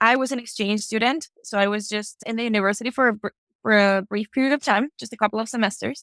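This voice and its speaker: With a Mexican accent, a woman speaks at a very fast pace in a fairly high pitch and fairly even intonation, in a dry, close sound with no echo. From Mexico. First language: Spanish. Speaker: higher education administrator. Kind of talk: podcast interview.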